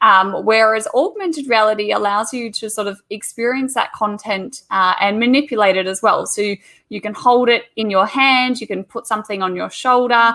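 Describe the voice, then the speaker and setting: With an Australian accent, the speaker has a bright, sharp tone and fairly even intonation. There are hardly any pauses. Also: woman, fairly high pitch for a woman, moderate pace. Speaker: teacher. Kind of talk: online presentation.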